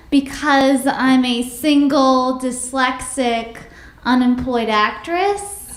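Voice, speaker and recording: Amid noticeable background noise and audible room echo, a woman speaks very slowly in a high pitch. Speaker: stand-up comedian. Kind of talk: stand-up.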